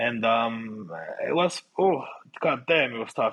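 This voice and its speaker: A man with a Finnish accent speaks at a medium pitch, with ordinary pitch variation. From Finland. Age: 30s. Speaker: grappling athlete. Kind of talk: casual interview chat.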